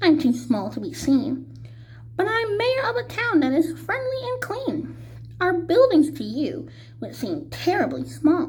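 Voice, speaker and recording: Over clear background noise, a woman performs a put-on character voice at a moderate pace. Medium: read story.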